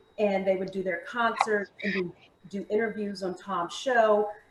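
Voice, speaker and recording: A woman speaks with an American accent, her pitch fairly high. Noticeable background noise runs beneath her. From Maryland. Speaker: fitness instructor and food entrepreneur. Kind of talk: interview.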